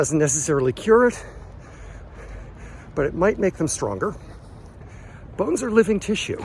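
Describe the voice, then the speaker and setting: Vocal fry runs through this man's speech as his pitch swings very widely. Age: 60s. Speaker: fitness vlogger. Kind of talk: casual vlog talk.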